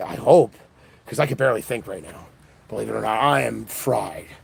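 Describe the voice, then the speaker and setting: This is a man talking. The rise and fall of his pitch is ordinary. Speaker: political livestreamer. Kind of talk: livestream monologue. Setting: live event. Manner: fast.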